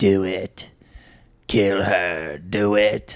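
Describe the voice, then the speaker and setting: A man does a put-on character voice at a fairly low pitch. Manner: menacing.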